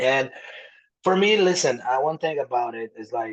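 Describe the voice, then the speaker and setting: A man speaks with a Brazilian Portuguese accent at a moderate pace. His intonation is lively. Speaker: author. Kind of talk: podcast interview.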